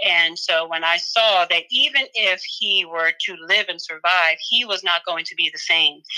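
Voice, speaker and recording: A woman's fairly slow, medium-pitched speech with an American accent over noticeable background noise. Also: ordinary pitch variation, hardly any pauses. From Philadelphia, US. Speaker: author and life coach. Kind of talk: casual interview chat. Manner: animated.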